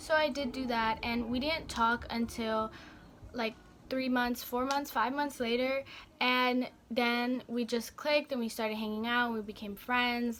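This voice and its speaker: High-pitched woman's voice, bright and sharp in tone, with fairly even intonation. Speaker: beauty vlogger. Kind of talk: storytime vlog. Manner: fast; halting, stuttering.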